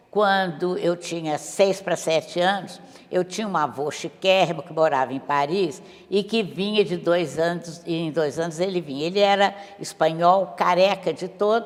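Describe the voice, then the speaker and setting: This woman talks at a fairly slow pace with a fairly low pitch. Her pitch varies in an ordinary way, and background noise is noticeable. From Brazil, Minas Gerais (Montes Claros). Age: 80s+. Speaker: painter. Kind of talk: interview.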